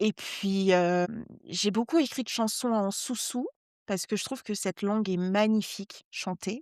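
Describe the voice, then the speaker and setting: With a Parisian accent, a woman speaks at medium pitch with ordinary pitch variation, the sound dry and close with no echo in a very clean recording with a silent background. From Brittany, Guadeloupe and West Africa (mixed childhood). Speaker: journalist and novelist. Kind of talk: interview conversation. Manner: many hesitations (heu, hem); slightly struggles with some words.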